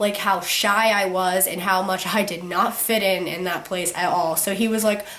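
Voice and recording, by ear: With audible room echo behind her, a woman speaks at medium pitch and a moderate pace, her tone fairly bright and her intonation fairly even.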